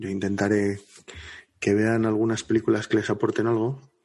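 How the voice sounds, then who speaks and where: Over a quiet background, a man speaks in a monotone, flat intonation at a moderate pace and a fairly low pitch. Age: 30s. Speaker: podcast co-host. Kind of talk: casual chat.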